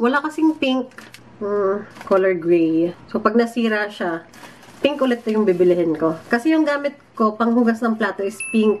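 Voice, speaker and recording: Noticeable background noise behind fairly slow delivery. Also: woman. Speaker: vlogger. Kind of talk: casual vlog. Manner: soft-spoken.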